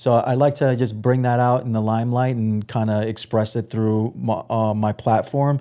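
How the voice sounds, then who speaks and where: In a New York accent, a man with a dark, mellow tone talks at a moderate pace and a medium pitch in a monotone, flat intonation, recorded very cleanly against a silent background. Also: hardly any pauses. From New York, Long Island (Suffolk County). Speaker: podcast host guest. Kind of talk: casual chat. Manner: hesitant, many fillers and repetitions.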